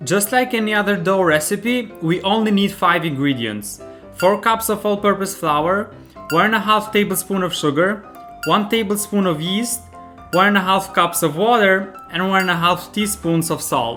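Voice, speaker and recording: Over music in the background, a man speaks in a raised, projected voice at a high pitch, at a moderate pace with ordinary pitch variation. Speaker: home cook, recipe video host. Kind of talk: recipe tutorial narration.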